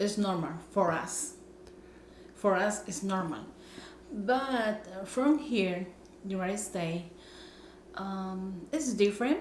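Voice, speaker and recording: Amid noticeable background noise and audible room echo, a woman with a Spanish accent speaks at a very slow pace in a medium pitch, with ordinary pitch variation and long, frequent pauses. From Nicaragua. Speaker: vlogger. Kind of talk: casual chat. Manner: halting.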